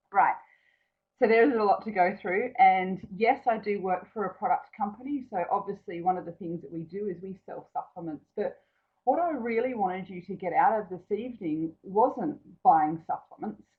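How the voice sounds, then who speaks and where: With an Australian accent, a woman talks at a moderate pace and medium pitch, showing ordinary pitch variation and big swings in loudness. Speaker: naturopath. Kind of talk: webinar presentation. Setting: online webinar from an empty office.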